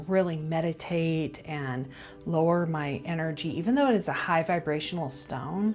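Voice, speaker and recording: A woman with a fairly low pitch and ordinary pitch variation, music in the background. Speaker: reiki practitioner showing crystals. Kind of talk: casual video tutorial. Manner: frequent filler uh and um.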